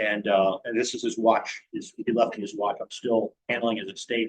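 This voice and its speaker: Recorded dry and close with no echo, a man with an American accent speaks fairly quickly at a medium pitch with ordinary pitch variation. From Virginia mountains. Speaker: restaurant owner, club member. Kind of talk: personal life story talk to a club. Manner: halting with many fillers.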